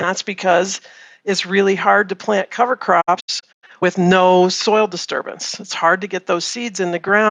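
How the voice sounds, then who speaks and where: Her pitch medium and her intonation monotone and flat, a woman talks at a fairly slow pace. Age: 50s. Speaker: farm consultant. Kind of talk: interview.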